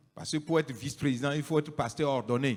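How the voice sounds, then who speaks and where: A man with a fairly high pitch for a man speaks with ordinary pitch variation. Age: 60s. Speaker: pastor. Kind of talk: public statement.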